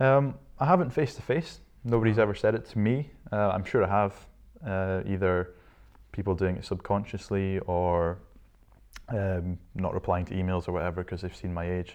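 A man speaks in a very deep, low voice with a Scottish accent. His pauses are long and frequent. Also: ordinary pitch variation, moderate pace. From Scotland, Shetland Islands. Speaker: entrepreneur. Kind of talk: interview.

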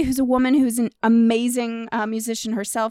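A woman speaks in a plain, everyday voice at a fairly high pitch. Her pace is moderate. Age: 40s. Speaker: podcast co-host and musician. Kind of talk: casual chat.

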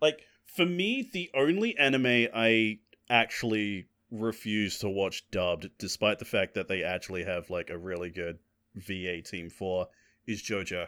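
In an ordinary speaking voice, a man talks at a fairly slow pace with a fairly low pitch. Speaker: podcast co-host. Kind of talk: casual chat.

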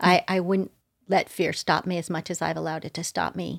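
The speaker has an American accent and talks at a fairly quick pace, with a dry, close sound and no echo. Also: woman. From Southern California (Manhattan Beach). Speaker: actress. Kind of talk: casual chat.

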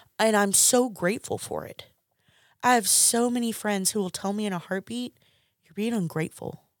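A woman's normal speaking voice, fairly high in pitch, with ordinary pitch variation, big swings in loudness and a moderate pace, in a very clean, dry, close recording with no echo and a silent background. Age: 30s. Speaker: guest sharing addiction recovery story. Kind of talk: testimony.

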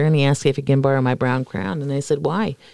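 In an American accent, a woman speaks with a very deep, low pitch. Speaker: recurring podcast guest. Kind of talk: casual chat. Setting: remote call. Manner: animated.

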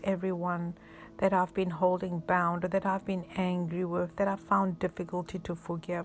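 A woman's calm, soothing tone over music in the background. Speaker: pastor. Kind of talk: guided prayer with breathing exercise. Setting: recorded message for listeners at home or in hospital. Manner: slow, calm, soothing; reassuring, pastoral, rhythmic counting.

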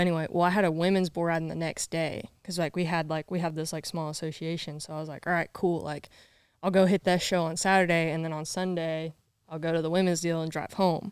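The speaker uses a Southern US accent at a very fast pace with monotone, flat intonation. The recording is very clean, with a silent background. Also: woman. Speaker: bull rider. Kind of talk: casual interview chat.

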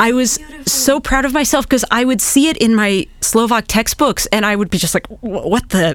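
Over noticeable background noise, a woman with a Midwestern American accent talks at a moderate pace with a fairly high pitch. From US Midwest, eastern Nebraska. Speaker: historian and beer researcher. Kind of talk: casual interview.

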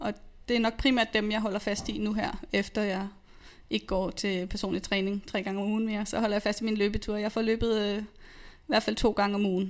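Her tone stays flat and monotone, set at a medium pitch. This woman keeps to a moderate pace. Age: 30s. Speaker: nurse and personal trainer. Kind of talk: interview testimony. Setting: studio.

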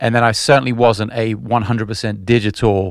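This man has a normal speaking voice with fairly low pitch. His intonation stays fairly even. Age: 40s. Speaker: musician. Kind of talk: casual chat. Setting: video call.

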